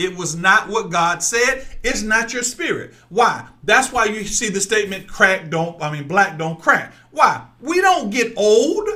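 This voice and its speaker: With audible room echo, a man's high, bright, sharp voice is raised and projected, animated and lively in intonation, moving at a fairly slow pace with hardly any pauses. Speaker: online preacher. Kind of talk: sermon. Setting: livestream. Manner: loud.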